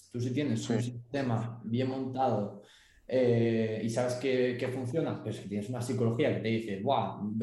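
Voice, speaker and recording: A man's medium-pitched voice, fairly even in intonation and fairly slow, with audible room echo. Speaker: forex and crypto trader, student. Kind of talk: casual chat.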